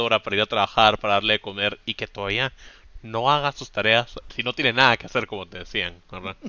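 Here a man speaks at a very fast pace, his pitch medium and his intonation fairly even. His loudness swings widely. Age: 20s. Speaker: podcast co-host. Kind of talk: casual chat.

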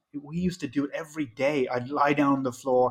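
A man speaks with an Irish accent. His pitch variation is ordinary. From Ireland. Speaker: mixed martial artist and entrepreneur. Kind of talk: casual interview chat.

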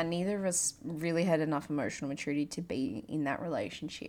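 A woman at a moderate pace. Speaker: podcast host and coach. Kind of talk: personal monologue. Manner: laughs often.

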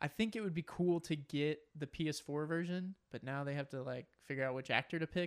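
In a plain, everyday voice, a man speaks at a fairly quick pace with hardly any pauses, his fairly high pitch showing ordinary variation, on a very clean recording with a silent background and a dry, close sound with no echo. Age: 20s. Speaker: podcast co-host. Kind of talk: casual chat.

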